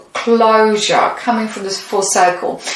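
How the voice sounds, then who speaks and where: A woman speaks over noticeable background noise, with audible echo from the room. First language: not English. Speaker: tarot reader. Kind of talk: tarot reading. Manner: halting.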